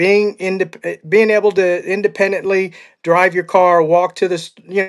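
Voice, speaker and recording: The man's voice is high in pitch. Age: 60s. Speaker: podcast host. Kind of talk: interview.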